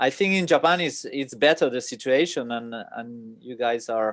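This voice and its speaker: Speaking at a fairly slow pace in a medium pitch with ordinary pitch variation, a man with a Spanish accent is heard against a quiet background. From Spain. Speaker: sake importer and distributor. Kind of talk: casual chat. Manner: halting, many fillers.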